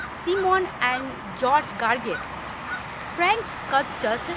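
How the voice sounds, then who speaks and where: Amid noticeable background noise and audible room echo, a woman with a non-native accent speaks in a high voice with very wide pitch swings and long, frequent pauses. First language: not English. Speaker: ESL student. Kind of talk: class presentation. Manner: halting.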